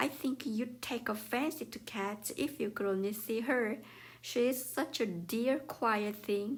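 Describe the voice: The clip consists of plain reading aloud.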